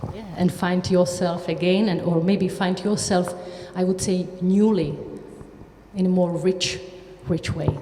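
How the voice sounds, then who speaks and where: With noticeable background noise, a woman speaks at a fairly slow pace in a flat monotone, leaving long, frequent pauses. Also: medium pitch for a woman. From Czechia. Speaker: writer. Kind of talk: panel talk.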